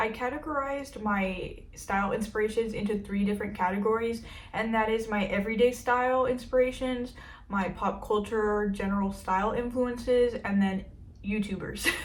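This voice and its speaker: A woman's fairly high, somewhat breathy voice at a moderate pace, with fairly even intonation and audible room echo. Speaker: fashion YouTuber. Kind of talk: casual vlog talk to camera. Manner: casual, filler-heavy.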